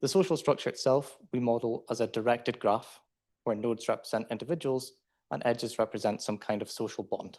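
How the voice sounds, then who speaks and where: Against a quiet background, a man speaks at a fairly quick pace with a medium pitch and ordinary pitch variation. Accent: Scottish. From Scotland. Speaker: PhD student presenter. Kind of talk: conference talk.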